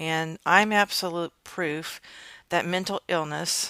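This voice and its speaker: A bright, sharp tone at a fairly slow pace with fairly even intonation, dry and close with no echo, on a very clean recording with a silent background. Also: woman. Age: 60s. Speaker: podcast host sharing personal experience. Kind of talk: solo podcast monologue. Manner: casual with frequent fillers.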